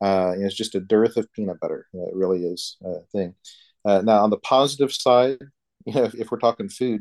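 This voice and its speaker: With a Texan accent, a man speaks at a fairly quick pace in a fairly low voice, the sound dry and close with no echo against a quiet background. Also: ordinary pitch variation. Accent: Texan American English. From Texas. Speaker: Orthodox priest. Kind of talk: casual interview.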